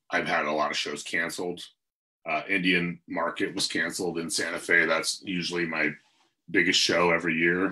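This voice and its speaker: Against a quiet background, a man with an American accent speaks at a moderate pace in a very deep, low pitch, with a bright, sharp tone and monotone, flat intonation. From US Pacific Northwest, Seattle area. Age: 40s. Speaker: glass artist; guest. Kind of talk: casual interview. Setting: video call. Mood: relaxed, reflective. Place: home room. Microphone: video call.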